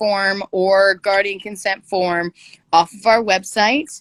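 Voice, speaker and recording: A woman's medium-pitched voice with a Canadian accent, at a fairly slow pace, dry and close with no echo, on a very clean recording with a silent background. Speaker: dancer and youth campaign co-host. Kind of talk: casual livestream chat. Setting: Instagram live video stream, indoors. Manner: loud; animated.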